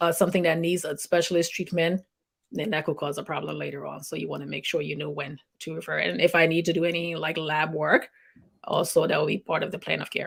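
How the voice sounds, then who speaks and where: A woman's fairly low, fry-edged voice at a very fast pace, fairly even in intonation, on a very clean recording with a silent background. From Liberia. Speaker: nurse practitioner. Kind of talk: interview.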